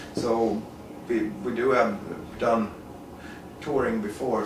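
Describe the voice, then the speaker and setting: A man with a Swedish accent at a very slow pace, with audible room echo and noticeable background noise. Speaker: metal musician. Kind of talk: interview. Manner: halting.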